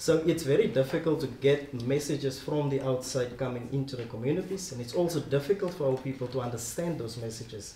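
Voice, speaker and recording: Speaking at a very fast pace with hardly any pauses, a man uses ordinary pitch variation over light background noise and audible room echo. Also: medium pitch for a man. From South Africa. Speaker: speaker. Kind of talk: panel discussion. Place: meeting room. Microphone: camera far.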